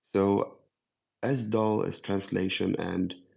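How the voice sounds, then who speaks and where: Against a quiet background, a man with a Swedish accent talks in a fairly even intonation. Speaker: AI panelist. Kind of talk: panel discussion.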